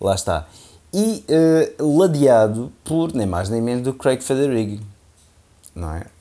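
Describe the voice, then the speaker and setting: A man's medium-pitched voice, dark and mellow in tone, with very wide pitch swings, a fairly slow pace and long, frequent pauses, on a very clean recording with a silent background. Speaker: tech podcast co-host. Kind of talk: casual chat. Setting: holiday house.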